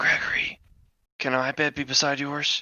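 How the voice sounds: Whispering in a raspy, put-on character voice, a man speaks at a moderate pace.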